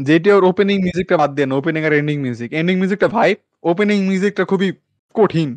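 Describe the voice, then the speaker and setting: A man's high-pitched voice, dry with no echo, over a quiet background. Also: ordinary pitch variation. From Bangladesh. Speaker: anime podcast host. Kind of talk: casual chat. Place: home room. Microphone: studio mic.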